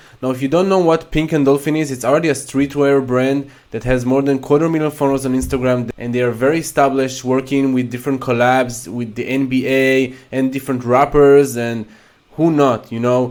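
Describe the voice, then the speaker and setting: A man's medium-pitched voice with a non-native accent, fairly even intonation and a fairly quick pace. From Israel. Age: 20s. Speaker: NFT YouTuber. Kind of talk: casual video commentary.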